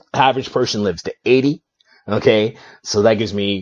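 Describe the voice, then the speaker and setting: A man with an ordinary speaking voice, a fairly quick pace and ordinary pitch variation. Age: 40s. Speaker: podcast host. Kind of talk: casual chat.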